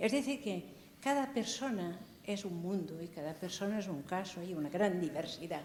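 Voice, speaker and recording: This woman's voice is somewhat breathy, and her intonation is lively. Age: 80s+. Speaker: audience member. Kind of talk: audience question.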